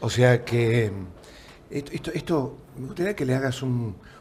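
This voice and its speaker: A man's ordinary speaking voice at a moderate pace. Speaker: TV interviewer. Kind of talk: interview conversation.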